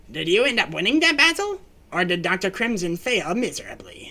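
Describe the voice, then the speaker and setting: A man puts on a theatrical character voice, pitched high, moving at a fairly quick pace. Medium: game stream. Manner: theatrical, scheming.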